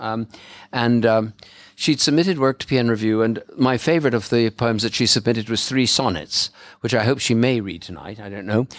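On a very clean recording with a silent background, a man of medium pitch speaks in a normal speaking voice at a fairly quick pace. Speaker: bookshop event host and poetry publisher. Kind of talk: live event introduction and commentary. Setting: stage with audience at a bookshop launch.

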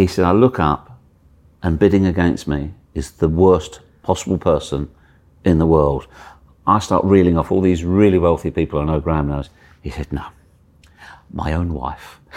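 Very deep and low, a man's voice moves at a moderate pace with ordinary pitch variation and long, frequent pauses. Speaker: TV reporter. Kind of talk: casual interview chat.

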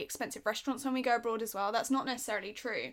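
A woman speaks very fast in a bright, sharp tone. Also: very clean recording, silent background. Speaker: podcast co-host. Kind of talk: casual chat.

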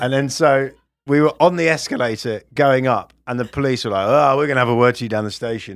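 This man has a British accent. He keeps up a fairly quick pace. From UK. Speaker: comedian and podcast co-host. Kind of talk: casual chat. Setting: studio.

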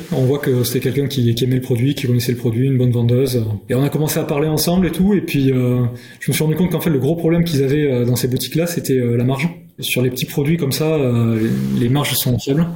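A man speaks very fast in a dark, mellow, somewhat breathy tone. His intonation is fairly even and his loudness stays very even. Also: medium pitch for a man. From France, Gers (southwest). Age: 40s. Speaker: underwear brand founder. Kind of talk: casual interview chat. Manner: hesitant, many fillers.

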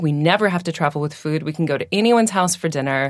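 A plain, everyday voice with an American accent and lively intonation comes through on a very clean recording with a silent background. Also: woman. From Washington State, US. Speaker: singer and food blogger. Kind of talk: casual chat. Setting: in person.

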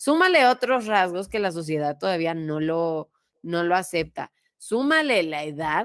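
A woman with a Mexican accent, fairly low pitch and lively intonation at a fairly slow pace, on a very clean recording with a silent background. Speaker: podcast host. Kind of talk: casual chat.

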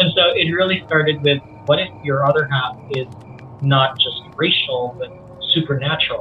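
A man's fairly high voice at a moderate pace with fairly even intonation, against noticeable background noise. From Philippines, then Middle East and rural Australia. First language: Visayan (Cebuano). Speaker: writer, director and comics creator. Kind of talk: casual interview chat.

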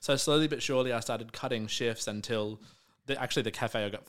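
Very fast and fairly even in intonation, a man talks with an Australian accent in a very clean recording with a silent background. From Melbourne, Australia (south-eastern suburbs). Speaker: drag performer and comedian. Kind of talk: casual interview chat.

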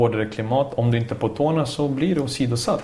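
Spoken at a fairly quick pace with fairly even intonation, the voice sits over noticeable background noise. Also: man. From Bosnia (Sarajevo), moved to Sweden at 10. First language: Bosnian/Serbian (speaking Swedish). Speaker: former footballer and coach. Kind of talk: casual chat. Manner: talkative.

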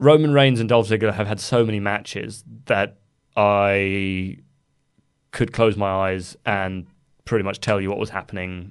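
Over a quiet background, a man with a fairly low pitch and ordinary pitch variation talks at a fairly slow pace with long, frequent pauses. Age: 20s. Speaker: wrestling news site editor. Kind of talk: casual chat. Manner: halting.

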